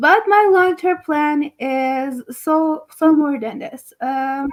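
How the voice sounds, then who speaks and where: A non-native accent comes through at a very slow pace, with ordinary pitch variation. Loudness swings widely. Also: woman, high pitch for a woman. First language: not English. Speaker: project founder. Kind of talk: interview. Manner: halting.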